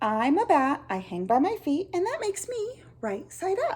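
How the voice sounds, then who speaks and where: Loud and extremely high-pitched, a woman performs a put-on character voice at a moderate pace with very wide pitch swings. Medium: read story. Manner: blunt, matter-of-fact.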